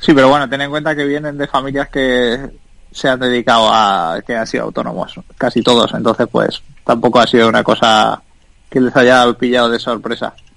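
A man speaks in a normal speaking voice at a medium pitch. His intonation is fairly even and his pace moderate. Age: 30s. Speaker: tech entrepreneur. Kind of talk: interview.

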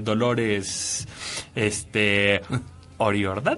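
A man talks amid noticeable background noise, with audible room echo. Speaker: radio host. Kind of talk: casual chat.

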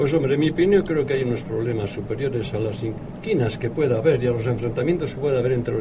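A man's medium-pitched voice at a very fast pace, with ordinary pitch variation, audible room echo and noticeable background noise. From Spain, Bilbao. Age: 80s+. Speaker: retired computer engineer. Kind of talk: radio talk show.

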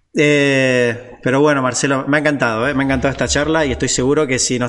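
A man's voice carries audible echo from the room. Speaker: podcast host and designer. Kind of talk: casual interview. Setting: video call. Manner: hesitant, filler-heavy.

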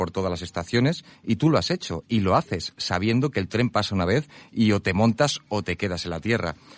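A man's unremarkable speaking voice, fairly low in pitch, with lively intonation at a moderate pace, dry and close with no echo. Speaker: radio host. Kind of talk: radio interview.

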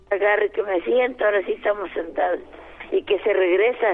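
A woman with a medium-pitched voice speaks at a moderate pace with lively intonation, over noticeable background noise. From Altamirano, Guerrero, Mexico. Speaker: caller giving testimony. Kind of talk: phone testimony. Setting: phone call.

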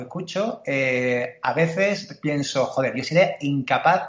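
A man is speaking. His intonation is lively. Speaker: podcast host. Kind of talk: casual interview chat.

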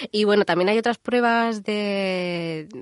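A woman's fairly slow speech, dry and close with no echo, in a quiet background. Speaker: radio co-host, engineer. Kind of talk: casual chat. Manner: prone to laughing.

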